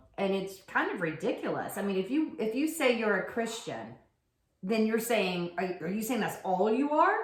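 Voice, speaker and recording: A woman's medium-pitched voice with lively intonation, a moderate pace and audible room echo. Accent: American. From US South, rural. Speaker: podcast co-host, yoga teacher. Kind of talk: casual chat.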